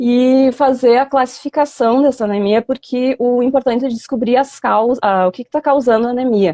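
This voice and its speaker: A woman with a southern Brazilian accent speaks in a high voice of dark, mellow tone, her intonation fairly even, with hardly any pauses and a dry, close sound with no echo. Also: moderate pace. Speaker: veterinary professor. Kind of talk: online lecture. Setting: live stream video call.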